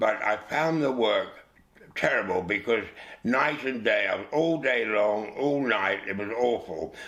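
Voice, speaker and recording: A man in a London accent, at a moderate pace with ordinary pitch variation. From England, East London. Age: 80s+. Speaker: actor. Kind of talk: interview. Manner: halting.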